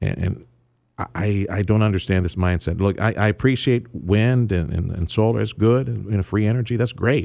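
A man speaks in a dark, mellow tone at a fairly low pitch. His pace is moderate and his pitch variation ordinary. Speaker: radio talk show host. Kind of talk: radio host intro and interview, talk radio. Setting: radio studio. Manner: animated, conversational, opinionated.

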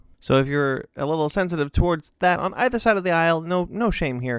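Mumbling at a fairly quick pace, a man with an American accent keeps his intonation lively. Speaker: podcast host. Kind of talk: casual interview. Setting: video call. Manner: mumbling, halting.

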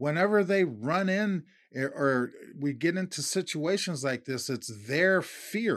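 This is an unremarkable speaking voice with lively intonation. The recording is very clean, with a silent background. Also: man, fairly high pitch for a man, fairly slow pace. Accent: American. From Minnesota. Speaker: podcast co-host. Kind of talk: casual chat.

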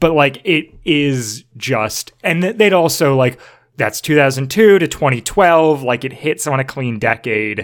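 A man talks at a fairly high pitch with lively intonation, in an ordinary speaking voice. The recording is very clean, with a silent background. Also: fairly slow pace. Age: 20s. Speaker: guest, former podcast host. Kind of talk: casual chat.

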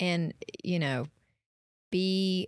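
Fairly even intonation from a woman with a Tennessee accent, in a dry, close sound with no echo and a very clean recording with a silent background. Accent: Southern US (Tennessee). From East Tennessee. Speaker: realtor. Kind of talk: podcast interview.

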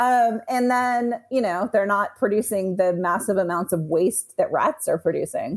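A woman with a plain, everyday voice talks at a fairly high pitch with lively intonation, very even loudness and hardly any pauses. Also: moderate pace. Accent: American. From Texas. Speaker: reptile breeder. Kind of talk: casual interview chat.

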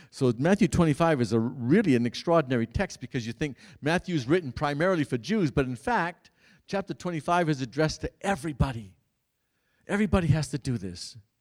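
In an American accent, the speaker rattles along at a very fast pace with lively intonation on a very clean recording with a silent background. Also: man, fairly high pitch for a man, dry, close sound with no echo. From Massachusetts, US. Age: 70s. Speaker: priest. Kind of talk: Bible teaching talk to a parish audience. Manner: halting, with frequent restarts.

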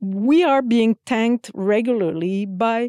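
Against a quiet background, a dark, mellow voice with a Quebec French accent shows ordinary pitch variation. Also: woman. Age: 50s. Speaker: military flute player. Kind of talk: interview.

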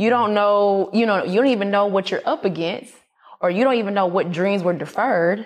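A woman with an American accent talks at a fairly quick pace in a plain, everyday voice. Her pitch is medium with ordinary variation, and her loudness stays very even. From US South, Atlanta, Georgia. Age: 30s. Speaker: entrepreneur. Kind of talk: interview.

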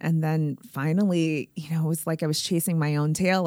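With an American accent, a woman speaks at a very deep, low pitch and a moderate pace, her dark, mellow tone and fairly even intonation captured in a very clean, dry, close recording with no echo and a silent background. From Springfield, Massachusetts, US. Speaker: health tech founder and CEO. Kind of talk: interview. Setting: in person, face to face.

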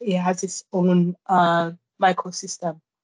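With a French accent, a woman speaks at a very slow pace. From Guadeloupe. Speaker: climber. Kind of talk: interview. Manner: halting.

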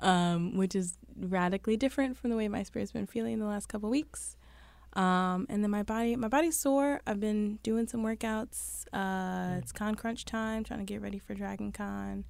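A woman with a New York accent at a moderate pace, on a very clean recording with a silent background. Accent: New York City. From Brooklyn, New York. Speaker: podcast co-host. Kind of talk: casual chat.

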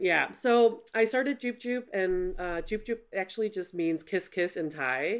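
This woman has a normal speaking voice at a medium pitch, with lively intonation and hardly any pauses. The recording is very clean, with a silent background. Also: fairly slow pace. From Chicago. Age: 40s. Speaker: creative agency founder. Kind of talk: interview conversation.

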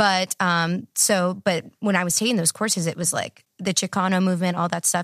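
In a very clean recording with a silent background and a dry, close sound with no echo, a woman with an American accent speaks at a moderate pace in a medium pitch with monotone, flat intonation. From Texas. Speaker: PhD candidate in political science. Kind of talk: casual interview. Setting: studio.

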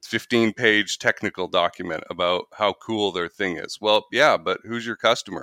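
In a dry, close sound with no echo and a very clean recording with a silent background, a man with a fairly low pitch and a bright, sharp tone speaks at a moderate pace with fairly even intonation and hardly any pauses. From Canada. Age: 40s. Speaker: sales trainer and podcast host. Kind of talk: interview.

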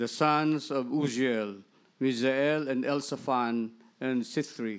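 An unremarkable speaking voice from a man, fairly high in pitch with ordinary variation, at a fairly slow pace on a very clean recording with a silent background. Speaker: scripture reader. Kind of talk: reading aloud. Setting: church.

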